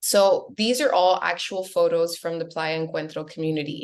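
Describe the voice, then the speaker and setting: A woman speaks at a moderate pace with an American accent, her pitch fairly low. She has a plain, everyday voice. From US, Miami. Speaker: real estate agent. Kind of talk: webinar presentation.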